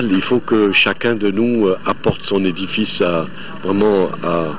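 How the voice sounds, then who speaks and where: A man speaks at a very slow pace with a fairly low pitch, fairly even intonation and very even loudness. Noticeable background noise runs underneath. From Mali, Bamako. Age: 50s. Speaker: voter. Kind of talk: street interview. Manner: hesitant.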